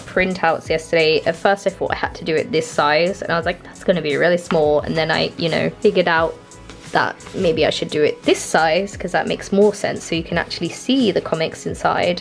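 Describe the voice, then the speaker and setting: Faint music sits in the background. The talking runs at a fairly quick pace. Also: woman. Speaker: comic artist vlogger. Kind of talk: casual vlog chat. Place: home room.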